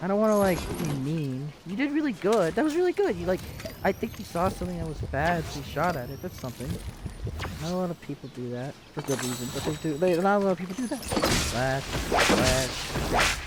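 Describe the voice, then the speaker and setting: A fairly quick, animated delivery over noticeable background noise. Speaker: game streamer. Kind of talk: live gameplay commentary. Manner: fast.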